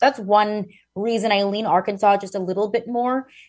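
A woman speaks in a plain, everyday voice at a medium pitch. The background is quiet. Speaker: sports journalist. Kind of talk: sports talk analysis, remote. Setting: remote call-in.

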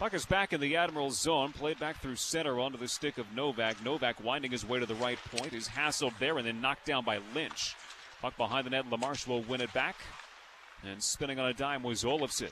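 A man speaks at a fairly quick pace and medium pitch with ordinary pitch variation. Noticeable background noise is present. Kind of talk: live radio play-by-play hockey commentary, with sponsor reads dropped in between plays.

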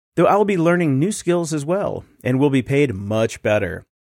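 On a very clean recording with a silent background, a man with an ordinary speaking voice talks at a fairly high pitch with lively intonation. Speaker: podcast producer. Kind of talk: reading aloud listener letters.

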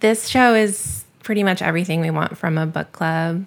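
A woman talks with ordinary pitch variation. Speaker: podcast company founder. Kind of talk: casual co-curator discussion.

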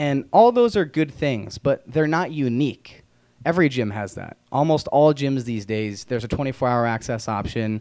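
A man at a moderate pace, with medium pitch and ordinary pitch variation, has a plain, everyday voice. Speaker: radio health show host. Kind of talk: casual chat.

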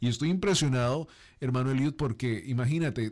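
A man speaks in a plain, everyday voice at a medium pitch with ordinary pitch variation, on a very clean recording with a silent background. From Colombia. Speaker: interview host. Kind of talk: interview. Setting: studio.

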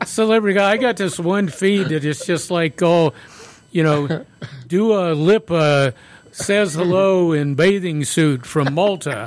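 A man at a fairly high pitch, fairly slow pace and ordinary pitch variation

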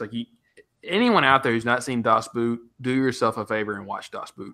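A man with a Southern US accent speaks at a fairly quick pace in a medium pitch, with ordinary pitch variation. His tone is bright and sharp, in a very clean recording with a silent background. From US South, West Tennessee. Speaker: podcast co-host. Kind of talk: casual chat.

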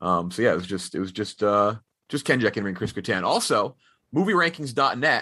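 A man with an American accent and a normal speaking voice talks at a fairly quick pace, medium in pitch, with lively intonation. The background is quiet. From Texas. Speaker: film podcast host. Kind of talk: casual movie review chat.

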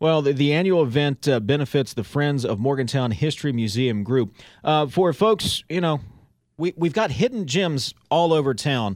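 This man has a plain, everyday voice with a fairly high pitch. His intonation is lively. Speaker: radio host.

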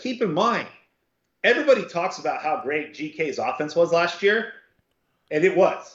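Using ordinary pitch variation, a man speaks at a high pitch in a Southern Californian accent. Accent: Southern Californian American. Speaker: football recruiting analyst, co-host. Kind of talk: casual chat.

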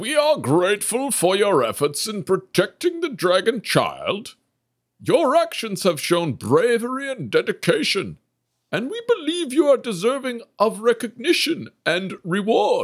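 A man puts on a high-pitched character voice at a moderate pace. The recording is very clean, with a silent background. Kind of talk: formal fantasy speech. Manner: polite, formal, apologetic then grateful.

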